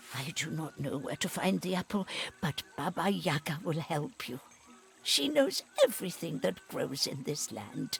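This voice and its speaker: A put-on character voice with a warm tone, middle pitch, very wide pitch swings and a moderate pace, with music in the background. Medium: video game. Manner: warm, motherly.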